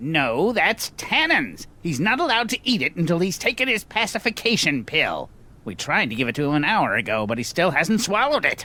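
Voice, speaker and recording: A man's put-on character voice, high in pitch, with very wide pitch swings, a fairly quick pace and hardly any pauses. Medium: video game. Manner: matter-of-fact.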